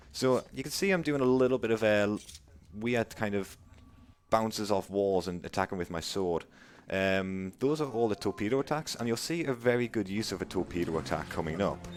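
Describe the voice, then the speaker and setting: Speaking in a Geordie accent, a man with a fairly low pitch moves at a fairly quick pace with lively intonation. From northern England, Newcastle. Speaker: speedrunner. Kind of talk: live gameplay commentary. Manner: casual, chatty.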